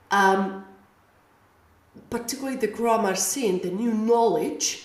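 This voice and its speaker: Noticeable background noise and audible room echo are both present in this recording. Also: woman. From Spain. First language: Spanish. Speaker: language teacher. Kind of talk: audio lesson. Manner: halting.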